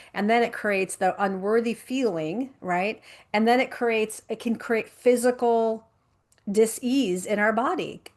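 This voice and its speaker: Against a quiet background, a woman with a plain, everyday voice speaks at a fairly high pitch and a fairly slow pace, with ordinary pitch variation. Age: 50s. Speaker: life coach and speaker. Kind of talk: interview conversation. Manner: repetitive false starts.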